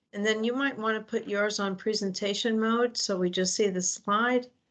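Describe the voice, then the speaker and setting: A woman with a plain, everyday voice talks at a fairly high pitch with fairly even intonation and very even loudness. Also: moderate pace. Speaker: faith community nurse.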